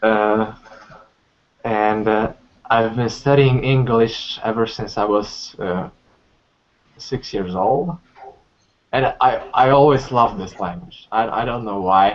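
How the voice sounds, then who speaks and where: A man with a medium-pitched voice and ordinary pitch variation talks very slowly, leaving long, frequent pauses. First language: Polish. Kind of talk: testimony. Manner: halting.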